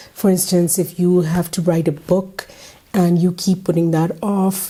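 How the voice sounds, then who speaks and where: A woman's fairly low voice, monotone and flat, fairly slow, with very even loudness against noticeable background noise. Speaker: book review youtuber. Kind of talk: casual vlog book review.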